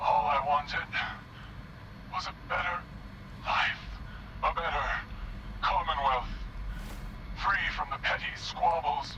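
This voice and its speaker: The pace is fairly slow. The speaker uses a put-on character voice. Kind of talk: 1940s radio acting. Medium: game stream. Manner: theatrical, hammy.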